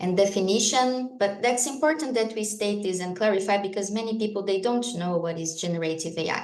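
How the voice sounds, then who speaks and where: A woman speaks with a Brazilian accent and lively intonation. Audible room echo surrounds her voice. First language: Portuguese. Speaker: lawyer and AI law expert. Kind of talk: conference talk. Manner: hesitant, with fillers.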